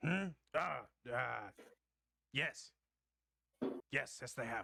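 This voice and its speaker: Using a put-on, raspy character voice, a man drags his words out at a very slow pace. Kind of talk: old-fashioned formal speech. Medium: actual play. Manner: formal, halting and stammering.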